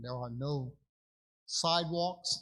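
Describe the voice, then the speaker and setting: A man speaks with a fairly high pitch and a somewhat breathy quality, in an American accent. His pitch varies in an ordinary way, and the recording is very clean with a silent background. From New York. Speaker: public commenter. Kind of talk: public comment at meeting.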